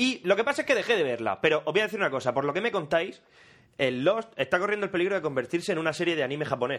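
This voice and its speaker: Against a quiet background, a man speaks very fast in a high pitch, with an animated tone and very wide pitch swings. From Murcia, Spain. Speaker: podcast co-host. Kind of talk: casual chat.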